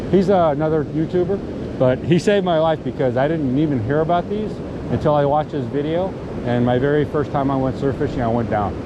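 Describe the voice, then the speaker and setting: Over noticeable background noise and audible room echo, a man talks at a fairly quick pace, his fairly high pitch showing ordinary variation. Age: old. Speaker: surf fishing YouTuber. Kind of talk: vlog narration; casual chat. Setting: outdoors on a beach.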